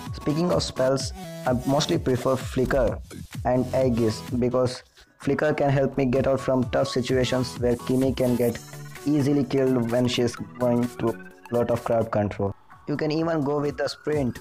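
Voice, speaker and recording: Someone with a non-native accent speaks at a moderate pace as music plays in the background. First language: not English. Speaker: mobile game guide creator. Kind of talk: gaming tutorial voice-over.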